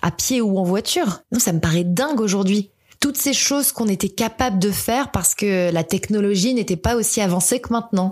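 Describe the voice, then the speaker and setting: A woman with a plain, everyday voice speaks at a medium pitch. Her pace is fairly quick and her loudness very even. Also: ordinary pitch variation. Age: 30s. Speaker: podcaster. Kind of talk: monologue.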